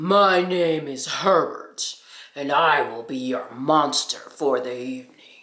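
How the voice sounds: Using a put-on character voice, a man sounds breathy and fairly high in pitch. His delivery is fairly slow.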